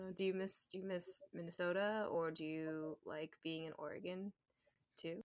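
The woman's voice sounds dry and close, with no echo, and has a medium pitch. It is a normal speaking voice, delivered at a fairly slow pace. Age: 30s. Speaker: podcast host. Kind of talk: casual interview chat. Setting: remote call.

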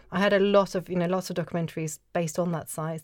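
On a very clean recording with a silent background, a woman speaks with a Norwegian accent. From Norway, Oslo. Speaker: archaeologist and author. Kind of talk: casual interview.

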